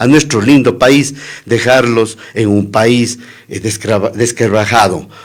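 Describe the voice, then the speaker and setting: A man talks in an unremarkable speaking voice at medium pitch. He speaks at a fairly slow pace with ordinary pitch variation. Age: 60s. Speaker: political candidate. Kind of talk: radio interview.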